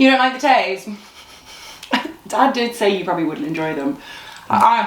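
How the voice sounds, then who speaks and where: A woman with a fairly high pitch speaks at a moderate pace with very wide pitch swings. Audible room echo and noticeable background noise fill the recording. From Zimbabwe. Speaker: YouTuber. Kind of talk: casual chat, snack tasting.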